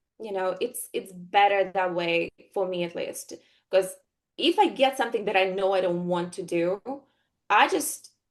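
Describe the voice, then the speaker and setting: The woman talks at a moderate pace with long, frequent pauses. Her pitch is medium, with ordinary variation. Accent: Russian. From Russia. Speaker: actress. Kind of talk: interview. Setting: podcast interview. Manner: hesitant, many fillers.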